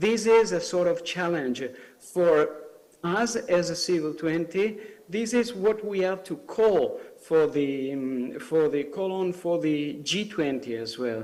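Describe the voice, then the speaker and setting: At a very slow pace, a man with an Italian accent and high pitch speaks with lively intonation amid audible room echo. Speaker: civil society representative. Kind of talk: conference speech. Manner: halting, many fillers.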